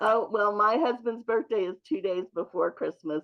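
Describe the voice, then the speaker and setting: Here is a woman with an unremarkable speaking voice at a medium pitch. Her intonation is lively. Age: 60s. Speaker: program member. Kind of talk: testimony.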